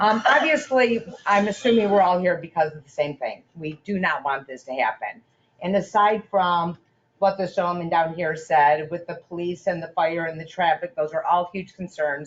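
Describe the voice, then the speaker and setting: A woman's fairly low voice, with ordinary pitch variation, big swings in loudness and a moderate pace. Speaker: resident making public comment. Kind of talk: public comment at town meeting. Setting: town council meeting room.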